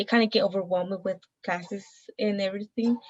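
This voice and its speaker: Fairly even intonation in a somewhat breathy woman's voice. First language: Mixtec. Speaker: college student. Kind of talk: casual interview conversation.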